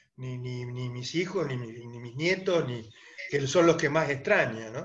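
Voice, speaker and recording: With audible room echo, a man speaks at a fairly slow pace in a medium pitch, his loudness swinging widely while his pitch varies in an ordinary way. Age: 70s. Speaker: interviewer. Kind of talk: interview. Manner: halting.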